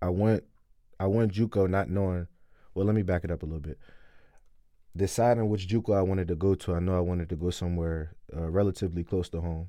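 Over a very clean recording with a silent background, a man with a very deep, low pitch and a dark, mellow tone talks at a very fast pace with fairly even intonation and long, frequent pauses. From Wilmington, Delaware. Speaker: college football player. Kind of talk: casual chat.

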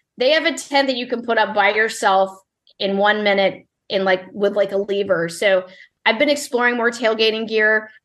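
This woman's voice sits at a fairly high pitch with ordinary pitch variation. She speaks at a moderate pace against a quiet background. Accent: slight Southern. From US South (born Mississippi). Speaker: barbecue recipe developer. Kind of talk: interview.

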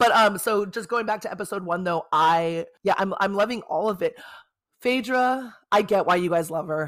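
Recorded very cleanly against a silent background, a woman with an American accent speaks in an ordinary speaking voice. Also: medium pitch for a woman, ordinary pitch variation, moderate pace. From South Bay, Los Angeles, California. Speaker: podcast host. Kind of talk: casual chat.

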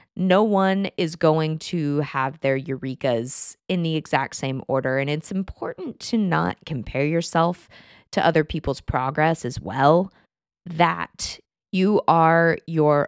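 A woman with an American accent and a very deep, low pitch, at a very slow pace with ordinary pitch variation, in a dry, close sound with no echo and a very clean recording over a silent background. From Texas. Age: 20s. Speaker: podcast host and writer. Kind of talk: solo podcast monologue. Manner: casual, chatty with laughs.

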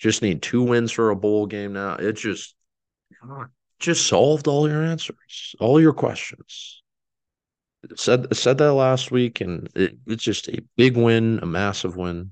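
Using a plain, everyday voice in an American accent, a man of medium pitch speaks at a fairly slow pace with lively intonation and big swings in loudness. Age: 20s. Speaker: sports podcast host. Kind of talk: solo sports commentary podcast. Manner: casual with frequent fillers and restarts.

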